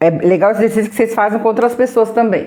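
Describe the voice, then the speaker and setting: A woman talks in a fairly high voice. Her tone is animated. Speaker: therapist running a live workshop. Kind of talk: live stream guided exercise. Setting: live stream.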